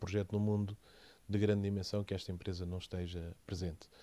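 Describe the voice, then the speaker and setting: In a very clean recording with a silent background, a man talks at a fairly quick pace in a very deep, low voice with a dark, mellow tone and monotone, flat intonation. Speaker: company CEO. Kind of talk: interview.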